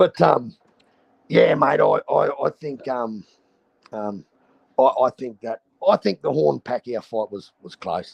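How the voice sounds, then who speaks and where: A man with a strong Australian accent talks at a fairly slow pace, with long, frequent pauses and big swings in loudness, in a dry, close sound with no echo. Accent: broad Australian. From North Queensland, Australia. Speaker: boxing streamer. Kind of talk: casual chat. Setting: live stream.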